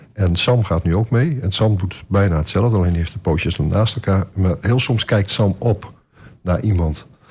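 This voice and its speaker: A man talks at a moderate pace in a fairly low pitch. His voice is somewhat breathy, with ordinary pitch variation. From Groningen, Netherlands. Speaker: shepherd. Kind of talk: radio interview. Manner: hesitant, many filler sounds.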